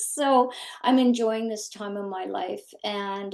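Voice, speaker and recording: A woman in a Canadian accent, very slow in pace, with fairly even intonation. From Ontario, Canada. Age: 60s. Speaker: former mental health professional and life coach. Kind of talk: casual conversation.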